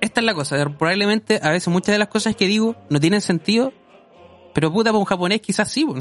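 Music plays behind a man with a Chilean accent who talks very fast in a high voice, with ordinary pitch variation and very even loudness. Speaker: podcast guest. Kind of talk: casual chat. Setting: at home.

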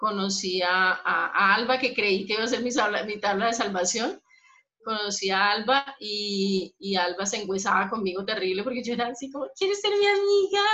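A woman talks at a moderate pace in a fairly high pitch with ordinary pitch variation. She has an unremarkable speaking voice. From Colombia, Bogotá. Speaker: podcast co-host, psychologist. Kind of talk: casual chat.

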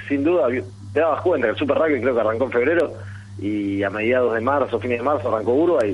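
Against noticeable background noise, a man talks at a very fast pace in a medium pitch with ordinary pitch variation. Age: 30s. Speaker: amateur rugby player. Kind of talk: radio interview.

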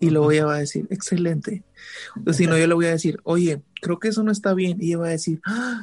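At a fairly quick pace, a man with a high voice speaks with ordinary pitch variation. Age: 20s. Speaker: guest. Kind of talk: casual chat.

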